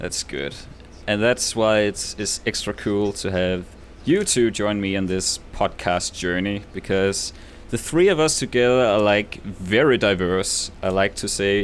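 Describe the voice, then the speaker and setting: A man with a Danish accent, at a fairly low pitch and a fairly slow pace. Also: ordinary pitch variation. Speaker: podcast host and YouTube creator. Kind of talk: casual chat.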